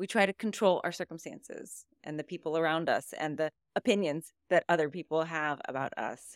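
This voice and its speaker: At a moderate pace and with ordinary pitch variation, this is an unremarkable speaking voice. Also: woman, fairly low pitch for a woman, dry, close sound with no echo. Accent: American. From US South, southern Louisiana near New Orleans. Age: 40s. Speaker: meditation coach. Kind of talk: interview.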